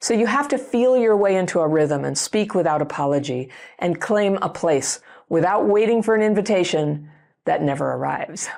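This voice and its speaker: With an animated tone and very wide pitch swings, a woman keeps her loudness very even. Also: medium pitch for a woman, very clean recording, silent background. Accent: Northern California. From Northern California. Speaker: YouTube psychology educator. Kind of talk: talking-head video monologue. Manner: fast.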